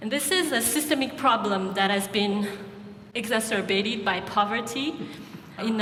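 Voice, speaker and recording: A woman with a Malagasy accent speaks at a fairly high pitch. The room echo is audible, and background noise is noticeable. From Madagascar. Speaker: nonprofit founder. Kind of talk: pitch talk. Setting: stage with audience.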